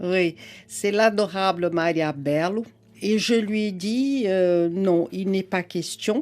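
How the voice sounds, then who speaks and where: A woman speaks at a very slow pace. Her loudness stays very even throughout. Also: medium pitch for a woman, ordinary pitch variation, very clean recording, silent background. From Brazil. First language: Portuguese (speaking French). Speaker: psychoanalyst and writer. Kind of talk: radio interview.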